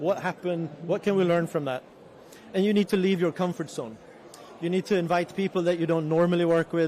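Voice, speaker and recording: Speaking with a Swedish accent, a man has a high pitch. His pace is fairly quick. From Sweden. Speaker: resilience organization representative. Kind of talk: panel talk.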